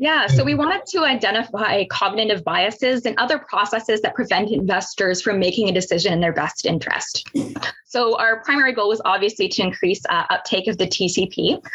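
A woman with a Canadian accent talks at a fairly quick pace, her fairly high pitch carrying lively intonation at very even loudness over noticeable background noise. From Ontario, Canada (Pickering near Toronto). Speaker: securities regulator researcher. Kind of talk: webinar presentation.

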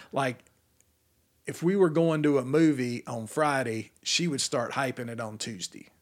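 In a very clean recording with a silent background, a man with an American accent talks at a moderate pace in a plain, everyday voice. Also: medium pitch for a man, ordinary pitch variation. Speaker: music industry executive. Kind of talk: casual chat.

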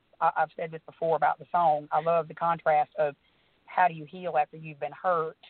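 With an Alabama accent, a woman speaks at a very deep, low pitch and a fairly quick pace. Her intonation is monotone and flat, while her loudness swings widely. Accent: Alabama twang. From US South. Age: 30s. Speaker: country singer. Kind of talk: casual chat.

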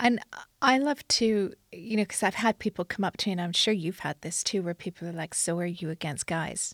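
In a very clean recording with a silent background and a dry, close sound with no echo, a woman with an ordinary speaking voice talks at a fairly quick pace, her medium pitch showing ordinary variation. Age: 40s. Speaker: podcast host and entrepreneur. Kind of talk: interview conversation. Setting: recording in London.

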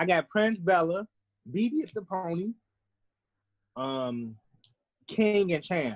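Very slowly and with long, frequent pauses, a man speaks at a high pitch with very wide pitch swings, the sound dry and close with no echo. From US Midwest, southeast side of Chicago. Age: 30s. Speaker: urban horse rider. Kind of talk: interview.

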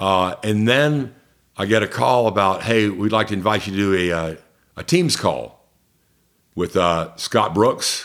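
Speaking at a fairly slow pace, the man has an American accent and a fairly low pitch. His pitch varies in an ordinary way. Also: very clean recording, silent background. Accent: Southern, mostly trained away. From US South, Columbus, Georgia. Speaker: PA announcer and voice actor. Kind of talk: casual interview chat.

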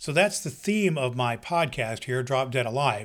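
A man with a normal speaking voice, a fairly high pitch and lively intonation, in a very clean recording with a silent background. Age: 60s. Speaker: podcast host. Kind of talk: solo podcast introduction.

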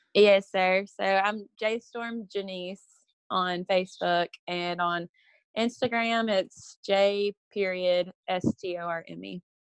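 Speaking very slowly with a Texas accent, a woman keeps a medium pitch and fairly even intonation while her loudness swings widely. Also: dry, close sound with no echo. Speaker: reality show contestant. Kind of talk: casual chat.

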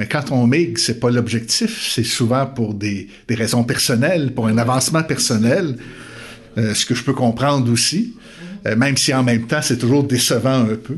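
Somewhat breathy and fairly slow, a man with a Quebec accent talks with ordinary pitch variation. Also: medium pitch for a man. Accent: Québécois. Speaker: theology professor and pastor. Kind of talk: interview conversation.

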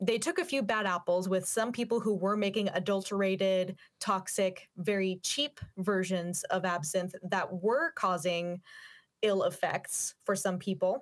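A woman with a plain, everyday voice speaks fairly slowly with an American accent, at medium pitch with ordinary pitch variation. Her loudness is very even, on a very clean recording with a silent background. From US Pacific Northwest, Yakima Valley, Washington. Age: 20s. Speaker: opera singer and YouTuber. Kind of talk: interview. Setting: studio.

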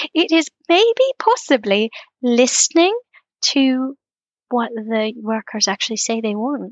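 Pausing long and often, a woman speaks at a high pitch with lively intonation. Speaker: guest. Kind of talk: casual chat.

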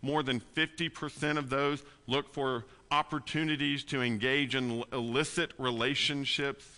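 With a bright, sharp tone, a man speaks at a fairly high pitch and fairly slow pace, his intonation fairly even against a quiet background. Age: 40s. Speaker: pastor. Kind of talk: sermon.

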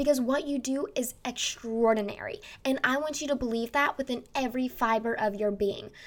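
An animated woman with a high voice and ordinary pitch variation on a very clean recording with a silent background. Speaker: podcast host and marketer. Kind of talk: solo podcast monologue with marketing advice. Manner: fast talker; loud, animated, extroverted.

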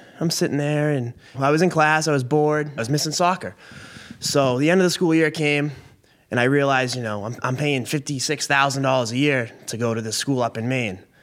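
A plain, everyday voice: a man with an American accent, fairly high pitch, ordinary pitch variation and a fairly quick pace. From Massachusetts (Billerica, near Boston). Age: 20s. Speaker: truck driver. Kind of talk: casual chat.

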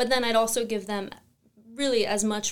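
A woman with an American accent at a moderate pace, fairly even intonation, on a very clean recording with a silent background. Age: 20s. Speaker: farmer. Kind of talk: casual interview. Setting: office studio.

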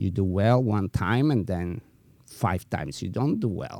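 This man's fairly low voice has a dark, mellow tone and lively intonation, delivered at a very slow pace. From Eastern Europe. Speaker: podcast host and dog breeder. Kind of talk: casual chat. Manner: halting.

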